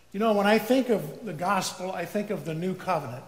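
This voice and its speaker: Audible room echo surrounds a man's voice. He talks at a moderate pace with ordinary pitch variation. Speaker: preacher. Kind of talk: sermon. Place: church.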